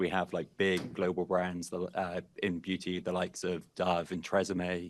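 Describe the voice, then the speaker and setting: A man with a British accent speaks in a very deep, low pitch at a moderate pace. The background is quiet. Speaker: in-house privacy lawyer. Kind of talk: panel discussion.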